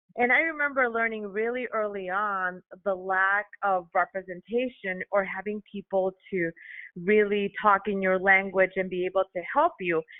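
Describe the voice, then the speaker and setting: This voice has a Chicago accent and a moderate pace. Its pitch varies in an ordinary way. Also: woman. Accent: Chicago American English. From Chicago, US (Mexican-American). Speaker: allergist. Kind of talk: podcast interview.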